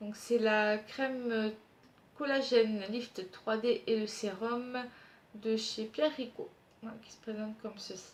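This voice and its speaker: A woman speaks very slowly with a fairly high, somewhat breathy voice and fairly even intonation. Her loudness swings widely, and she makes long, frequent pauses. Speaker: beauty youtuber. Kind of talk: product review vlog.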